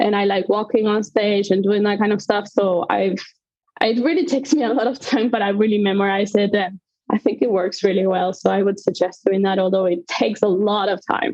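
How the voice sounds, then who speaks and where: A woman with a non-native accent speaks at a fairly quick pace and medium pitch, her loudness very even and her pitch variation ordinary. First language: not English. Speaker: conductor. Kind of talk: interview. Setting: live podcast.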